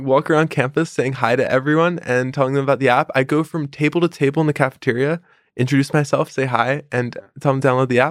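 Talking very fast in a monotone, flat intonation, a man with an American accent keeps his loudness very even on a very clean recording with a silent background, the sound dry and close with no echo. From Philadelphia, US. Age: 20s. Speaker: startup founder. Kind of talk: long-form interview conversation.

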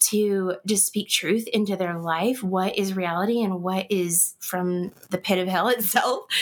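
A woman with an American accent and medium pitch has an unremarkable speaking voice. She talks at a fairly slow pace with hardly any pauses and very even loudness. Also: fairly even intonation. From Kansas. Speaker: guest sharing loss story. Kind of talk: interview.

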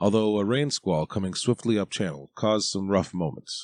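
A man speaks at a moderate pace in a plain, everyday voice, pitched fairly low. The sound is dry and close with no echo, over a quiet background. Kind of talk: audiobook narration. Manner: even, measured, steady reading pace.

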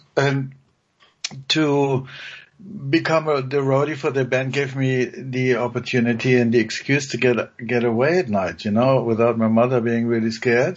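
At a moderate pace, a man with medium pitch and fairly even intonation talks in an ordinary speaking voice. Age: 60s. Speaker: music producer and musician. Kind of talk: interview.

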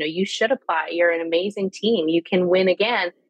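Talking at a fairly quick pace with a Canadian accent, a woman has an unremarkable speaking voice, medium pitch and ordinary pitch variation. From Canada. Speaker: sales coach. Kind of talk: casual chat.

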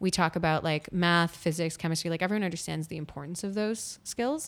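A woman with a Canadian accent talks at a fairly quick pace in a normal speaking voice, her pitch fairly low with ordinary variation. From Winnipeg, Canada. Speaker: toy company founder and designer. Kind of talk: interview conversation.

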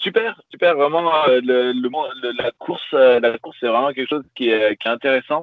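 At a moderate pace and with ordinary pitch variation, a man talks in a medium-pitched voice, a plain, everyday voice. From southern France, Pyrenees. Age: 20s. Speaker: sailor, YouTuber. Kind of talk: interview.

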